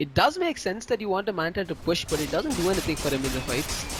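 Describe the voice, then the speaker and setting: Against music in the background, a man talks fairly quickly in an animated tone, his pitch swinging very widely. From South India, Chennai. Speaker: esports commentator. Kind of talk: live commentary. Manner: loud; fast, animated during fights.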